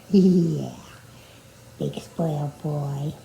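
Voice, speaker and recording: This woman's voice comes through with noticeable background noise. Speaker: cat owner vlogger. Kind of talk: talking to pets. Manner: loud; affectionate baby talk.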